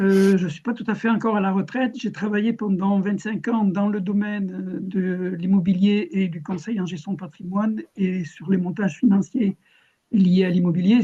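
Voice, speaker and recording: This man's voice is high-pitched with a dark, mellow tone. His intonation stays fairly even at a moderate pace. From southern France (Ariège). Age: 70s. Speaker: cooperative founder and real-estate consultant. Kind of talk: video-call meeting self-introduction. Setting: video call. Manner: hesitant, many fillers.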